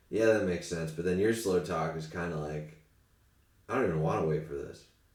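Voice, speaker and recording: A man talks at a fairly quick pace in a very deep, low voice with ordinary pitch variation. Room echo is audible. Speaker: comedian. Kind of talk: casual chat.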